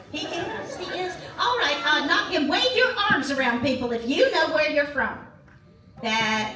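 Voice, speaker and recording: A high-pitched, put-on character voice comes through with a slight echo. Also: moderate pace. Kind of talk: live interactive comedy show. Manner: upbeat, chatty.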